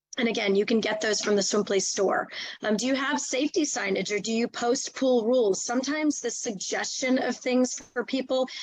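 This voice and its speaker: Her pitch is fairly high for a woman, with ordinary variation. She speaks at a fairly quick pace. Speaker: nonprofit executive director. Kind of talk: webinar presentation. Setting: video call. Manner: fast.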